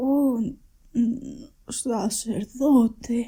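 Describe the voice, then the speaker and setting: A put-on character voice, female-sounding, hoarse and high-pitched for a woman. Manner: hoarse, dying.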